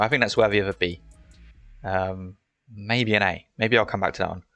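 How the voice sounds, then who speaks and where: A man speaks at a fairly quick pace in a fairly low pitch with monotone, flat intonation, music playing in the background. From UK. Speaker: gaming YouTuber and esports caster. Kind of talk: casual solo commentary video. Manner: casual, hesitant with fillers.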